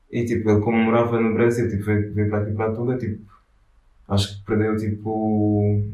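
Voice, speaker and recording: There is audible room echo around this man's dark, mellow tone. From Angola. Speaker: artist collective founder. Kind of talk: casual interview. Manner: halting, many fillers.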